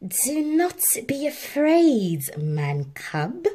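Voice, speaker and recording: A female-sounding voice, high for a woman, performs a put-on character voice. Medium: read story. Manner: coaxing, sly.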